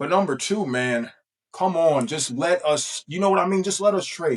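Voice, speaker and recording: A man keeps ordinary pitch variation while talking at a moderate pace. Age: 20s. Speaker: YouTuber. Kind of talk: casual vlog commentary. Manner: casual, halting with fillers.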